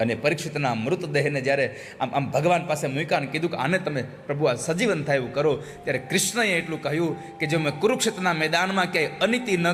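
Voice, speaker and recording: This man's pitch sits fairly high, with ordinary variation. There is noticeable background noise behind him. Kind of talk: religious discourse.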